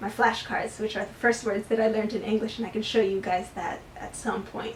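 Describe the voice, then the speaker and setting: A woman speaks with a fairly high pitch. Noticeable background noise sits behind her. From US. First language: Spanish. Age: 20s. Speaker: booktuber. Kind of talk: casual chat. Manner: casual with fillers.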